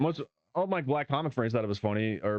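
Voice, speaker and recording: With a slight Southern US accent, a man talks at a medium pitch. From US South, southeast Arkansas. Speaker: stand-up comedian. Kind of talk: casual chat.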